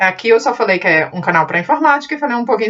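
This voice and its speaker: A woman talks at a very fast pace. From Portugal (born in Brazil). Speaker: computer skills teacher, channel owner. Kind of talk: casual channel talk to camera. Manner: halting, with fillers.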